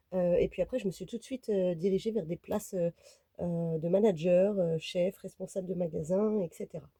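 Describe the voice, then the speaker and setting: Dark, mellow female voice at a moderate pace, dry and close with no echo. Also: medium pitch for a woman, fairly even intonation. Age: 30s. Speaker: vlogger. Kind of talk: casual vlog talk to camera. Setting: inside a camper van. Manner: hesitant, many fillers.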